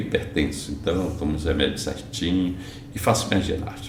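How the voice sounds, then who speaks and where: Amid noticeable background noise and audible room echo, a man speaks with a very deep, low pitch. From Brazil, Bahia (Porto Seguro). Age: 70s. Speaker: real estate entrepreneur. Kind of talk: interview.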